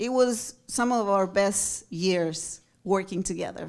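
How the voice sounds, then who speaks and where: A woman at medium pitch with a Spanish accent and a fairly slow pace. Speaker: television producer. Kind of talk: award tribute speech. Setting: stage at awards luncheon.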